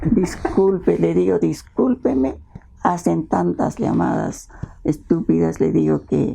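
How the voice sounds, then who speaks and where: A woman at a very slow pace with very even loudness, over noticeable background noise. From Peru, Ancash highlands. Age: 70s. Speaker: children's author and teacher. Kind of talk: interview, casual storytelling. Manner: animated.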